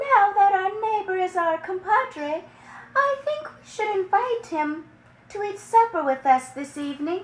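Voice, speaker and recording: Squeaky and extremely high-pitched, a woman's put-on character voice moves at a moderate pace with very wide pitch swings and big swings in loudness. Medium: read story.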